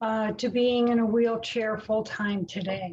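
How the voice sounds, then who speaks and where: A woman with a fairly high voice talks at a fairly slow pace, flat and monotone, with a somewhat breathy sound. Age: 60s. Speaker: patient speaker. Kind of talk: prepared talk read aloud. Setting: online webinar.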